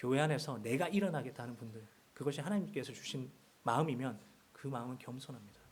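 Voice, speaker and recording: With vocal fry and lively intonation, a man talks at a fairly quick pace amid audible room echo. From Seoul. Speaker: guest preacher. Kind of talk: sermon.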